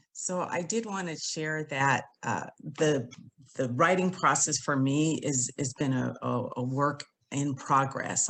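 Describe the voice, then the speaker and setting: A woman speaks with a West Coast accent and a very deep, low pitch. The background is quiet. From San Francisco Bay Area. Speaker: author and attorney. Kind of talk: casual chat.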